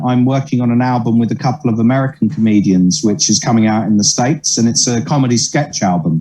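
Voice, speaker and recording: Someone with an English accent speaks at a fairly quick pace with lively intonation amid noticeable background noise. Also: man. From southern England, Sutton. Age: 30s. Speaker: comedian and musician. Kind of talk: interview.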